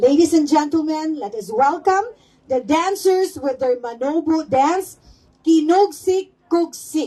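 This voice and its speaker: With a Philippine accent, a woman speaks at a very slow pace in an extremely high pitch with lively intonation. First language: Cebuano (speaking Tagalog). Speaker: event emcee. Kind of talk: ceremony hosting. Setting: outdoor public ceremony.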